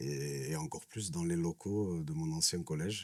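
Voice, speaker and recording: This man talks at a fairly slow pace with ordinary pitch variation. The recording is very clean, with a silent background. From southern France, Nîmes. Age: 30s. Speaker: social worker. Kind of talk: interview. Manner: hesitant, many fillers.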